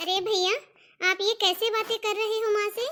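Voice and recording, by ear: Squeaky and extremely high-pitched, a woman performs a cartoonish character voice at a fairly quick pace.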